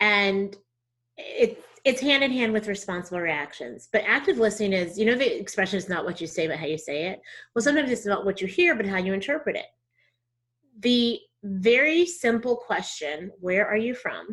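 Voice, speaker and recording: With a slight Southern US accent, a woman speaks at a moderate pace with very wide pitch swings. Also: fairly high pitch for a woman. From Texas. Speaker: diversity trainer. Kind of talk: interview conversation.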